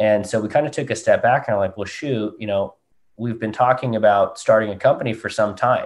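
Moving at a fairly quick pace, a man speaks with a medium pitch and ordinary pitch variation. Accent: West Coast American. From Southern California, US. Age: 20s. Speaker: golf company co-founder. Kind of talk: interview.

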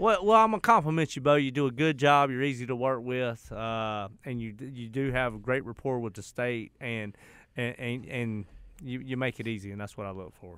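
On a very clean recording with a silent background, the speaker talks at a fairly quick pace with ordinary pitch variation and big swings in loudness. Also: man, medium pitch for a man. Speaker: radio show co-host, real estate. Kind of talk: casual chat. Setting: studio. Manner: animated.

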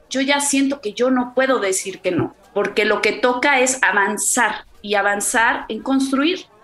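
Over noticeable background noise, a woman talks at a fairly slow pace in a high pitch, with ordinary pitch variation and hardly any pauses. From Mexico City. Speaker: mother. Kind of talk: interview. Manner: articulate.

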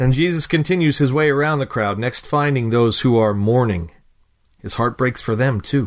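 Over a quiet background, a man with an unremarkable speaking voice talks at a moderate pace, medium in pitch with ordinary pitch variation. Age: 40s. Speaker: devotional writer and narrator. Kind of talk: scripted devotional reading.

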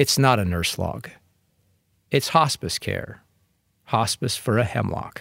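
Vocal fry runs through this fairly slow delivery, broken by long, frequent pauses, in a very clean recording with a silent background. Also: man, medium pitch for a man. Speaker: radio preacher. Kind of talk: sermon. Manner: formal.

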